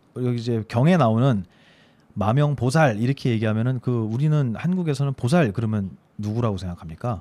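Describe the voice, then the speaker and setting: In a very clean recording with a silent background, a man with a medium pitch and a dark, mellow tone speaks at a fairly quick pace using lively intonation. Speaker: Buddhist monk radio host. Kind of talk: casual chat on Buddhist scripture. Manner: hesitant, many fillers.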